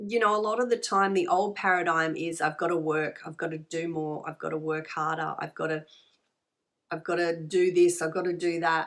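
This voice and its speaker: In an Australian accent, a woman talks at a moderate pace with a fairly low pitch. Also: fairly even intonation, very clean recording, silent background. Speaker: tarot reader and spiritual healer. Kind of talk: tarot card reading. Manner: conversational, many fillers and repetitions.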